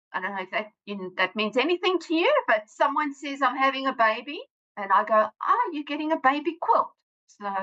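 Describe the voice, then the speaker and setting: The woman's tone is bright and sharp. Her intonation is lively. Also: dry, close sound with no echo. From South Africa. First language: Afrikaans. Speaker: author and science teacher. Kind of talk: podcast interview.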